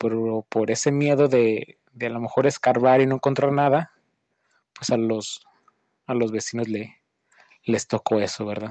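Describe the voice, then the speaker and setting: A man talks at a fairly slow pace. His pitch is medium, and his intonation stays fairly even. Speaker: host's brother sharing a story. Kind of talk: recorded voice message anecdote.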